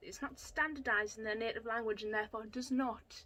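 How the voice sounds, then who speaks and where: A woman speaks in a raised, projected voice. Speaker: book reviewer, video blogger. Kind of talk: opinionated book review monologue. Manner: animated, sarcastic.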